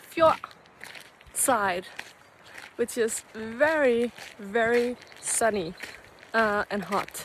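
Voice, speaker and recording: With a Danish accent, a woman speaks at a very slow pace and a fairly high pitch, with ordinary pitch variation, long, frequent pauses, and noticeable background noise. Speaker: vlogger and artist. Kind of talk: casual vlog narration. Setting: outdoors hiking. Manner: casual, halting with fillers.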